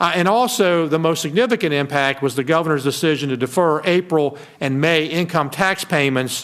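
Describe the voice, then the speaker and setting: A man talks at a fairly quick pace in an ordinary speaking voice, with hardly any pauses. His pitch is fairly high with ordinary variation, and his loudness stays very even. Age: 60s. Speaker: state finance secretary. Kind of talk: formal presentation. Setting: committee meeting.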